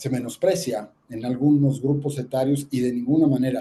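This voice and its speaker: A man speaks at a moderate pace in a fairly high voice with a dark, mellow tone. His delivery is somewhat breathy, with ordinary pitch variation. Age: 60s. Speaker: ear, nose and throat doctor. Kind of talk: health talk with slides.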